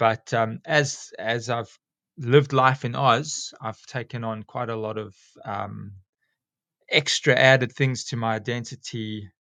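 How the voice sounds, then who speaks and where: With a South African accent, a man speaks fairly slowly in a bright, sharp tone with fairly even intonation and a dry, close sound with no echo. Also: medium pitch for a man, very clean recording, silent background. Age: 40s. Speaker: school teacher and snake catcher. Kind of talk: casual interview chat. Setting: podcast.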